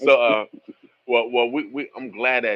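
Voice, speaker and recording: A man speaks in a US East Coast accent. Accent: sounds like the US East Coast. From US Midwest, Omaha, Nebraska. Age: 50s. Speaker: radio host. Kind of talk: talk-radio interview with caller.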